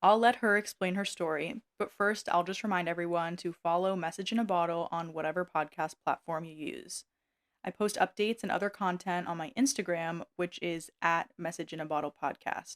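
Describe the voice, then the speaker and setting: A woman with an American accent and an unremarkable speaking voice talks at a fairly quick pace and a fairly low pitch with ordinary pitch variation, in a dry, close sound with no echo on a very clean recording with a silent background. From USA. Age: 20s. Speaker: podcast host. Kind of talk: podcast interview.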